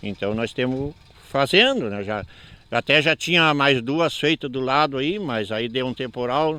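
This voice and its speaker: Fairly slow in pace, a man speaks at a medium pitch with a bright, sharp tone. His pitch varies in an ordinary way. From southern Brazil, Porto Alegre rural area. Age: 60s. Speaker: farmer. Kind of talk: interview. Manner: halting.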